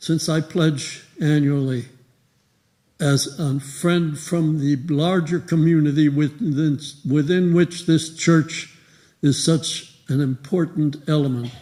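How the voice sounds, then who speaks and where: Somewhat breathy and dark, mellow in tone, a man speaks at a very slow pace with a fairly high pitch and fairly even intonation. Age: 80s+. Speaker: retired professor and church member. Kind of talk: speech to congregation. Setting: church. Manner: halting, with many fillers.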